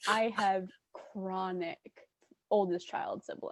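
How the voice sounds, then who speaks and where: A woman at a very slow pace, with a dry, close sound and no echo. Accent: American. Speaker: co-host. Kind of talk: casual chat. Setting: video call.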